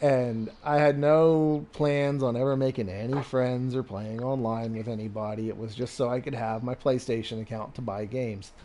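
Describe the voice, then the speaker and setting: A man with a normal speaking voice and a medium pitch talks at a moderate pace with fairly even intonation and hardly any pauses. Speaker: gaming live streamer. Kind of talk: casual chat. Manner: relaxed, conversational with many fillers.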